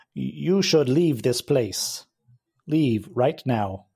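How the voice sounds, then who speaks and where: A man does a robotic, put-on character voice at medium pitch, speaking very slowly. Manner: commanding, threatening.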